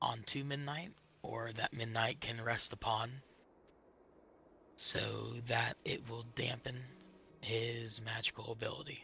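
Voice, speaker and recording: A man does a raspy, put-on character voice at a medium pitch, speaking at a fairly slow pace with long, frequent pauses. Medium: game stream. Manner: calm, explanatory.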